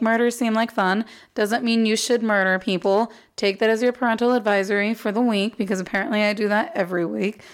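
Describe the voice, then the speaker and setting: A woman with an American accent speaks in a plain, everyday voice at a fairly high pitch. She goes at a fairly quick pace with fairly even intonation. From Arizona. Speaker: podcast host. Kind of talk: casual chat.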